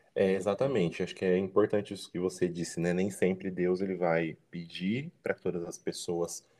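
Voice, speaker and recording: Deep and very low in pitch, a man's dark, mellow tone moves at a fairly quick pace. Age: 20s. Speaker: journalist and church teaching coordinator. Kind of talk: casual chat.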